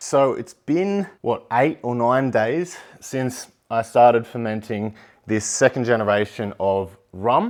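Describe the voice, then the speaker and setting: Speaking very slowly with an Australian accent, a man uses a medium pitch and lively intonation. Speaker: home distilling YouTuber. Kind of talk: tutorial. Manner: casual, conversational.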